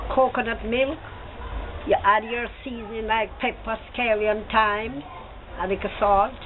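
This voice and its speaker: Someone with a Jamaican accent talks over light background noise. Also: woman. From Jamaica, Trelawny. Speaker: grandmother; interviewee. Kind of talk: casual chat. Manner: casual. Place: street. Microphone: phone near.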